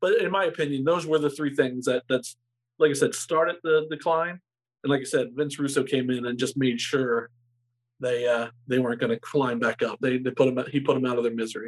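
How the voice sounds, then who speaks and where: This man has an ordinary speaking voice, fairly high in pitch, moving at a fairly quick pace with ordinary pitch variation. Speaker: former sports radio co-host. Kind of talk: casual chat.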